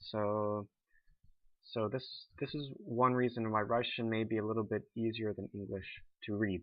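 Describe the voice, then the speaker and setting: Fairly even intonation in an American accent, at a moderate pace broken by long, frequent pauses. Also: man, medium pitch for a man. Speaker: language teacher. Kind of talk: tutorial. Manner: halting, with fillers and restarts.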